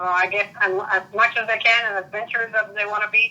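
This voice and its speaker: Music plays behind a woman with a Spanish accent who speaks at a moderate pace and medium pitch in a monotone, flat way. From Puerto Rico. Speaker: interviewee. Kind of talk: interview. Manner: halting.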